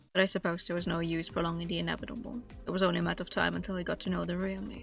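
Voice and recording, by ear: A woman puts on a strained character voice, fairly low in pitch, at a very fast pace. Music plays in the background.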